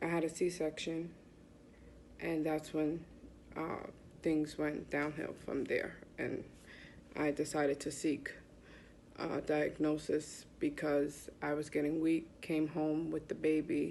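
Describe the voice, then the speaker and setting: A woman's very deep, low voice with an American accent, dark and mellow in tone, monotone and flat, at a very slow pace with long, frequent pauses. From US Northeast, Bronx, New York. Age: 40s. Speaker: patient sharing illness story. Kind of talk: testimony.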